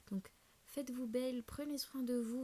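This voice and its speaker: The voice has a dark, mellow tone, sounds somewhat breathy and moves at a fairly quick pace. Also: woman. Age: 20s. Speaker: self-development YouTuber. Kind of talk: casual vlog talk. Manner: fast; hesitant, many fillers.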